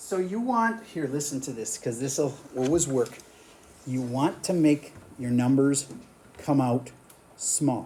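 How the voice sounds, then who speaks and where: Somewhat breathy and dark, mellow in tone, a man's fairly high voice moves with lively intonation at a very slow pace, broken by long, frequent pauses. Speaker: math teacher. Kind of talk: classroom lecture. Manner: animated.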